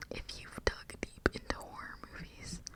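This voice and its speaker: Fairly slow whispered speech amid noticeable background noise. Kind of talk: ASMR whisper ramble to camera. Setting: close condenser microphone recording. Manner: whispered, casual, chatty.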